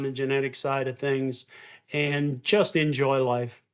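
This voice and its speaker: A man with an Upper Midwest accent at a moderate pace. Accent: Upper Midwest American. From Wisconsin. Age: 60s. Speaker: beef farmer. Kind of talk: interview. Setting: video call. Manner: halting, frequent fillers.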